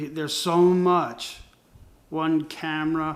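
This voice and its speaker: A man speaks with a fairly high pitch. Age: 60s. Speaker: creative agency owner and designer. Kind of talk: casual monologue. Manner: halting, many fillers and restarts.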